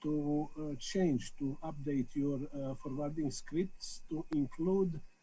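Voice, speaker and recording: With a Serbian accent, a man speaks at a very slow pace in a fairly high pitch, his dark, mellow tone somewhat breathy and his intonation fairly even, with audible room echo around him. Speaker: amateur radio operator. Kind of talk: video call meeting remarks. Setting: video call. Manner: halting, many hesitations.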